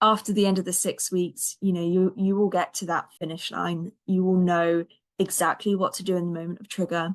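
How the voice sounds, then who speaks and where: A woman with a British accent speaks at a fairly quick pace in a monotone, flat delivery. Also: medium pitch for a woman, big swings in loudness. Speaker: anxiety coach, podcast host. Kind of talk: podcast outro with program pitch.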